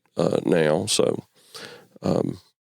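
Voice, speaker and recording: A man speaks with a Memphis accent. The sound is dry and close, with no echo. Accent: Southern US (Memphis). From US South, Memphis, Tennessee. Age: 60s. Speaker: churchgoer sharing faith story. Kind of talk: interview testimony. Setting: studio interview, early morning. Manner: halting, many fillers and repeats.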